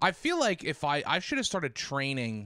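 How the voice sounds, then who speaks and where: A loud man at a fairly quick pace, bright and sharp in tone, on a very clean recording with a silent background. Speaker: podcast co-host. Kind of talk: casual chat.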